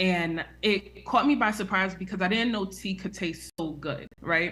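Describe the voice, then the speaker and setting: A woman talks at a very slow pace in a bright, sharp tone. Her voice carries vocal fry. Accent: New York. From New York, US (the Bronx). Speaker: herbal tea business owner. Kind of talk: live Q&A interview.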